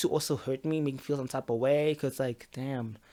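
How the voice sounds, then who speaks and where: The voice carries a Zulu accent at a fairly quick pace. The recording is very clean, with a silent background. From South Africa. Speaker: YouTuber and podcaster. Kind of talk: casual storytelling monologue. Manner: halting, repeats words.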